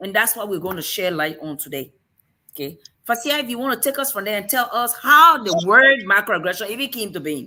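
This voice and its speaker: A woman with an African accent talks at a fairly quick pace in a medium pitch, her animated, bright, sharp tone marked by very wide pitch swings and big swings in loudness. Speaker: show host. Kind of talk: casual discussion.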